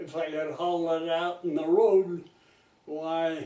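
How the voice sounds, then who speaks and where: Speaking at a very slow pace, a man has a high pitch and a dark, mellow tone. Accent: American. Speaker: retired farmer. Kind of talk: oral history interview answer. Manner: hesitant, rambling.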